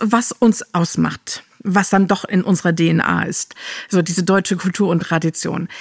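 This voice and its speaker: At a medium pitch, a woman speaks with vocal fry. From Germany. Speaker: podcast host. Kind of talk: interview conversation.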